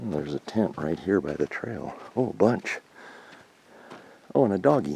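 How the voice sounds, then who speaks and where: A man's very deep, low voice with very wide pitch swings at a moderate pace. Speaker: hiking vlogger. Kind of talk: outdoor vlog narration. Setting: outdoors on a hiking trail. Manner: casual, with fillers; speaking quietly near campers.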